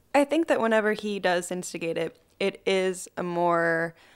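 A woman speaks in an ordinary speaking voice, fairly low-pitched with ordinary pitch variation, on a very clean recording with a silent background. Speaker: host of house viewing. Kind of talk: casual chat.

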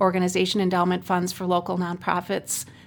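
Over music in the background, a woman with a medium pitch and an Upper Midwest accent speaks fairly quickly in a monotone, flat delivery. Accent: Upper Midwest American. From Racine, Wisconsin. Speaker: community foundation executive. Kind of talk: interview.

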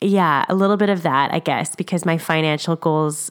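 A woman's pitch varies in an ordinary way on a very clean recording where the background is silent. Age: 30s. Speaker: podcast co-host and parent. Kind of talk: interview conversation.

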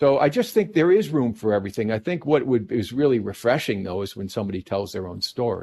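Over a quiet background, a man with a New Jersey accent talks at a very fast pace with lively intonation and hardly any pauses. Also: medium pitch for a man. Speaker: painter. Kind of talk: casual interview chat. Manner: warm, talkative, hesitant with fillers.

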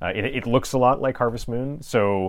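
On a very clean recording with a silent background, a man speaks at a medium pitch and a fairly quick pace. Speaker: video game podcast host. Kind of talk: casual chat. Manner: louder when recording.

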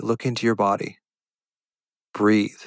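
A man talks in a plain, everyday voice at a medium pitch. He keeps a moderate pace. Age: 60s. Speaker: podcast host, physician and anxiety coach. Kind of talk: solo educational podcast monologue. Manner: conversational, with sighs and laughs.

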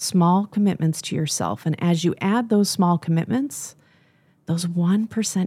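Her voice is fairly low, somewhat breathy and dark and mellow in tone, with an American accent. The woman speaks at a fairly slow pace with ordinary pitch variation. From Michigan. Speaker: business coach. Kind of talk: interview. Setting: studio.

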